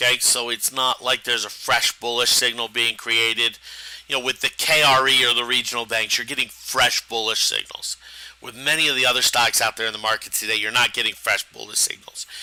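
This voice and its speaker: A man speaks at medium pitch and a fairly quick pace, in a monotone with flat intonation. Noticeable background noise runs behind him. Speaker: stock trading educator. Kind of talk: live trading webinar. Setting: live stream.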